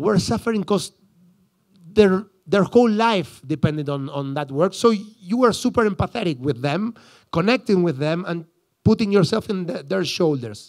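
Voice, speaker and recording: High-pitched male voice in an Argentine accent, with lively intonation at a moderate pace, on a very clean recording with a silent background. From Argentina, Buenos Aires suburbs. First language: Spanish. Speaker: psychologist. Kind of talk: conference talk. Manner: halting, many restarts.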